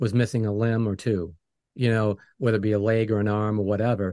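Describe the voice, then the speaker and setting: A man with an American accent, a plain, everyday voice, medium pitch and a fairly quick pace. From New England, US. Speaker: music producer and podcast host. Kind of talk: interview.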